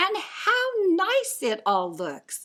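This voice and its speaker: In a squeaky put-on character voice, a woman pitches extremely high. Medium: read story. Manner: warm, motherly.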